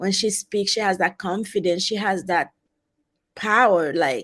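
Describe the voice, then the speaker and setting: On a very clean recording with a silent background, a woman with a strong Haitian accent speaks at a moderate pace with ordinary pitch variation. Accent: heavy Haitian. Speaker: travel advisor, guest. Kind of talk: interview.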